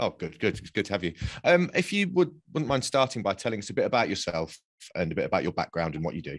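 The voice, in a British accent, races along at a very fast pace with very wide pitch swings. The background is quiet. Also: man, fairly low pitch for a man. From UK, Polish family. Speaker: podcast host. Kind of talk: scripted narration. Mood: serious, measured. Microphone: webcam.

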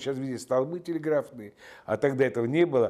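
A quiet background sits behind a voice with a dark, mellow tone. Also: man. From Georgia, Tbilisi; Georgia. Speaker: film director. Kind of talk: interview; interview answer. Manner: hesitant with frequent filler sounds. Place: home room.

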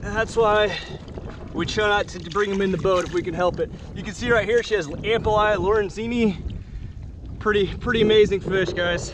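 Over noticeable background noise, a man with a high pitch speaks at a moderate pace with fairly even intonation, in a dry sound with no echo. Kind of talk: casual vlog commentary. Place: boat. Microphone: phone near.

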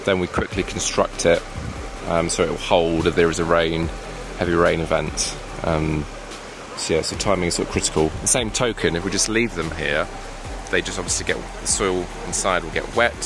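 A man's very deep, low voice, fairly quick with ordinary pitch variation, dry with no echo, over noticeable background noise. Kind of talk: casual vlog commentary. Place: forest. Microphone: phone near.

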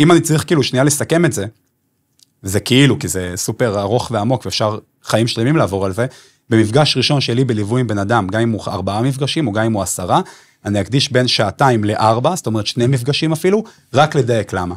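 Lively in intonation, a man talks at a fairly quick pace but leaves long, frequent pauses. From Israel, Bnei Brak; Israel. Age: 30s. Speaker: business consultant and event producer; podcast guest, music coach. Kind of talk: podcast interview. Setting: studio. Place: studio. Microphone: studio mic.

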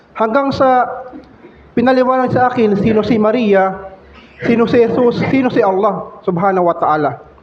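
A man with a high-pitched voice is heard over noticeable background noise and audible room echo. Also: ordinary pitch variation, moderate pace, very even loudness. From Philippines, Valenzuela City. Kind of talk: testimony. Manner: halting.

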